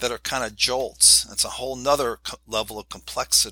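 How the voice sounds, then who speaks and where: Recorded dry and close with no echo against a silent background, the very clean clip has a man speaking at a moderate pace. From New York City. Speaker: leadership professor. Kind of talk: interview conversation.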